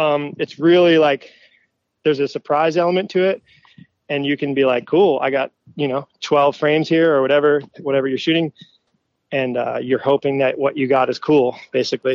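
The speaker has a plain, everyday voice. The delivery is neither fast nor slow, at a moderate pace. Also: man, fairly high pitch for a man. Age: 30s. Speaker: motocross photographer. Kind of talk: casual chat.

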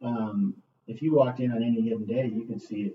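In an American accent, a man talks at a very fast pace with medium pitch, ordinary pitch variation and a somewhat breathy voice. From US West Coast, Los Angeles area. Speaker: school superintendent. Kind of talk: interview. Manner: frequent fillers and self-repetition.

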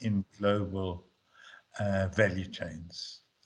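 A man's somewhat breathy voice moves along at a very slow pace. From South Africa. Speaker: former government economic policy official. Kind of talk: interview.

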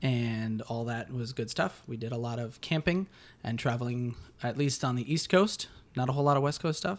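A man with an American accent talks in an unremarkable speaking voice at medium pitch and a moderate pace, with ordinary pitch variation, on a very clean recording with a silent background. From rural Connecticut, US. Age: 30s. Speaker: freelance filmmaker and actor. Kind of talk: casual chat.

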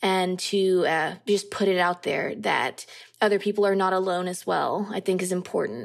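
A woman with an American accent speaks at a medium pitch. Her pace is moderate and her intonation fairly even. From US Deep South. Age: 30s. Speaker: poet and English teacher. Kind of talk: interview. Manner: halting, many fillers.

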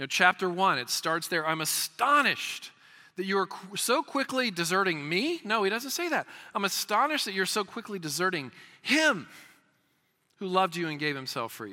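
On a very clean recording with a silent background, a man speaks in a raised, projected voice with a bright, sharp tone, high pitch, very wide pitch swings and a fairly quick pace. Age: 50s. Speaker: pastor. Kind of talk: sermon. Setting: church.

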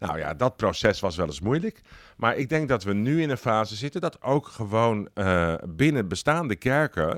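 A man speaks at a medium pitch with very wide swings in pitch. The recording is very clean and dry, close with no echo, over a silent background. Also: moderate pace. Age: 50s. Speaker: director of a church organization. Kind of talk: interview. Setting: organization building. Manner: talkative.

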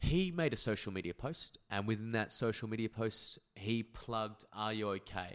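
This man has an Australian accent and a medium pitch, speaking at a moderate pace with hardly any pauses and ordinary pitch variation. The recording is very clean, with a silent background. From Perth, Western Australia. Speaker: podcaster. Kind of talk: casual chat.

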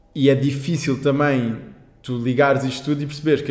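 Very fast talk from a man, pitched in the medium range. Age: 20s. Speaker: climate justice activist. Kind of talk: casual chat.

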